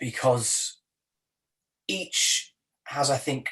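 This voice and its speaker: A man with a Welsh accent speaks at a medium pitch, his voice somewhat breathy. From South Wales. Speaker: poet. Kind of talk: interview. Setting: video call.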